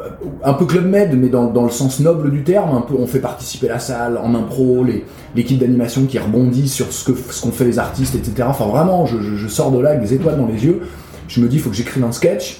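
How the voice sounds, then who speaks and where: Over music in the background, a man of medium pitch talks at a fairly quick pace with ordinary pitch variation and audible room echo. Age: 40s. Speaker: actor and playwright. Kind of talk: interview. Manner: hesitant, many fillers and repetitions.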